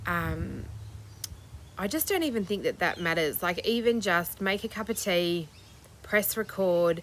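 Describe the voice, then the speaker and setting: A woman with a medium pitch talks at a fairly slow pace with ordinary pitch variation and long, frequent pauses. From Australia. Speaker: crochet vlogger. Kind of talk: casual chat.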